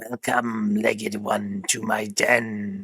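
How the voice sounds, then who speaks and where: Hissing runs through this put-on character voice, as a man with a fairly low pitch speaks at a very slow pace. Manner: slithering, welcoming.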